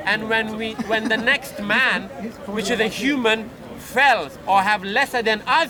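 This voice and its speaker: A high-pitched man speaks in a raised, projected voice. Music plays in the background, and room echo is audible. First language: not English. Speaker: street debater. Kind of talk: heated debate. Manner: halting; impassioned.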